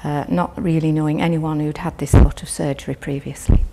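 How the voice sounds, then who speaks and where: A woman's very deep, low voice at a moderate pace, fairly even in intonation, over noticeable background noise. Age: 70s. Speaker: patient. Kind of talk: testimony. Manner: halting.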